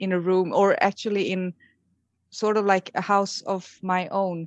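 Against a quiet background, a woman with a Swedish accent speaks at a moderate pace in a dry, close sound with no echo. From Sweden. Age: 40s. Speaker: emergency nurse and contest winner. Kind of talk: interview. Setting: phone or video call.

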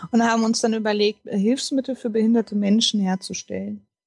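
A somewhat breathy, fairly high female voice, dry and close with no echo, on a very clean recording with a silent background. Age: 30s. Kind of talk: interview. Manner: hesitant, many fillers.

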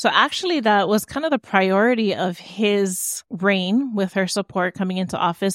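A woman with a Hawaiian accent speaks at a medium pitch, the sound dry and close with no echo. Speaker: entrepreneur and cultural practitioner. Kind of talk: interview conversation.

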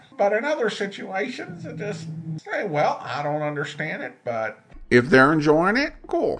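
Over background music, a man with an American accent talks at a moderate pace in a high voice, his pitch swinging very widely and his loudness rising and falling a lot. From Boise, Idaho, US. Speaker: old-time radio podcast host. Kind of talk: casual podcast host intro and outro, conversational commentary.

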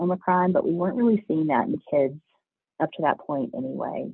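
At a fairly quick pace, a man talks with vocal fry and a slightly husky edge in a dry, close sound with no echo.

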